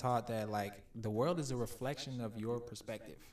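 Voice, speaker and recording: Using an unremarkable speaking voice, a man speaks at a medium pitch with ordinary pitch variation. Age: 20s. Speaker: podcast guest. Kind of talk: casual chat.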